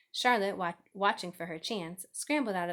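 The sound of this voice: This is an unforced reading voice. Behind it, the background stays quiet.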